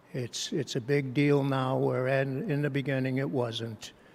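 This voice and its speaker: At a fairly slow pace, a man speaks with a medium pitch and a monotone, flat intonation. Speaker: hall of fame inductee, volleyball coach. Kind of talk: acceptance speech. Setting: banquet hall. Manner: halting.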